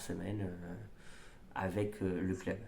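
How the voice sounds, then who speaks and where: In a dark, mellow tone, a man speaks very slowly with monotone, flat intonation, and audible room echo surrounds him. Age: 30s. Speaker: amateur triathlete vlogger. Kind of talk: casual vlog. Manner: halting, many fillers.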